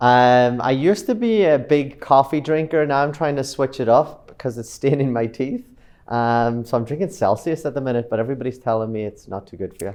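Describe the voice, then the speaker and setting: A man with an Irish accent speaks at a fairly quick pace. His pitch is medium, with ordinary variation. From Ireland, Killybegs, County Donegal. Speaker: real estate broker. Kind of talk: casual interview walk-through. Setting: walking through luxury building. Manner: relaxed, hesitant with fillers.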